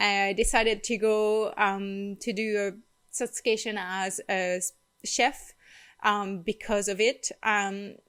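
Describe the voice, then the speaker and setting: In a Quebec accent, a woman speaks very slowly at a fairly high pitch, on a very clean recording with a silent background. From Quebec, rural farm. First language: French. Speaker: holistic wellness vlogger. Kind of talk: personal vlog storytelling. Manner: frequent hesitations with um.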